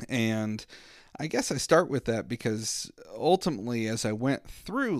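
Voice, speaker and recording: In a very clean recording with a silent background, a man with an American accent uses a normal speaking voice at a medium pitch, talking at a fairly slow pace with lively intonation. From southwestern Virginia, US. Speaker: parent trainer and counselor. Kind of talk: casual interview conversation.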